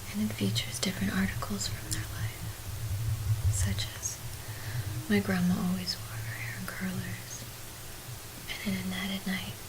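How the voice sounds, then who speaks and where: A woman whispering, soft-spoken and fairly slow, against noticeable background noise. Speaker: visual artist, ceramics teacher. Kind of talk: casual talk to camera. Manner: whispered, soft-spoken.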